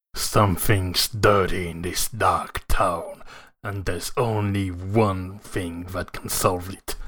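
A man performs a put-on character voice at a fairly low pitch and a fairly slow pace. His intonation is monotone and flat, while his loudness swings widely. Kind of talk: movie trailer narration. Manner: dark, dramatic.

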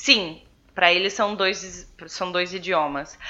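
A speaker with a Brazilian accent. The delivery is very slow. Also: woman. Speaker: podcast co-host. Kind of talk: casual chat. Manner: animated.

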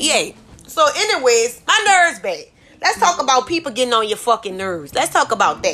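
A woman in a New Orleans accent speaks at a fairly quick pace in a raised, projected voice with an animated tone. Her high pitch moves in very wide swings. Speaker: podcast host. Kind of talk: casual monologue.

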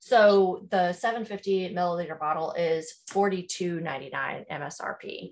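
A woman with a Southern US accent speaks at a medium pitch with ordinary pitch variation. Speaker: podcast host. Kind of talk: casual chat.

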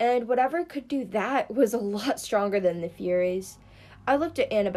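A natural reading voice carries lively intonation throughout.

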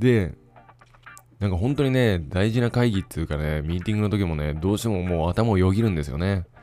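Very deep and low in pitch, a man talks at a fairly quick pace with lively intonation over noticeable background noise. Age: 30s. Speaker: podcaster and father. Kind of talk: solo casual monologue.

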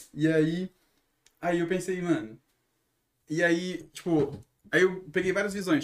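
Pausing long and often, a man speaks in a high pitch with ordinary pitch variation. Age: 20s. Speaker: singer, songwriter and podcaster. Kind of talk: casual chat.

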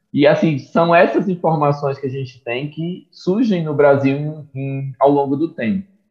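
Somewhat breathy, the voice goes at a fairly slow pace with hardly any pauses, ordinary pitch variation and big swings in loudness. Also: man, fairly high pitch for a man. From Brazil, interior of Pernambuco (Águas Belas). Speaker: mycology researcher and professor. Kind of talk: interview.

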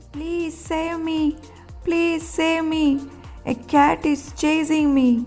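Over clear music in the background, a squeaky, high-pitched put-on character voice speaks at a very slow pace. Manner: frightened, pleading.

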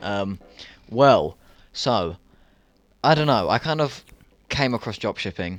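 With a British accent, a man speaks at a medium pitch and a fairly slow pace, his intonation lively and his pauses long and frequent. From UK. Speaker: dropshipping entrepreneur. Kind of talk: casual chat.

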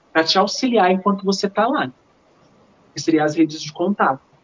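A woman's voice at a moderate pace. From Minas Gerais, Brazil. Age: 20s. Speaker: dancer and choreographer. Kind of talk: podcast interview.

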